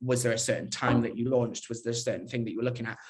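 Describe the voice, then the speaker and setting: A man's voice is heard with audible room echo. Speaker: digital PR professional at a fashion brand. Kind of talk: conference talk. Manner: fast.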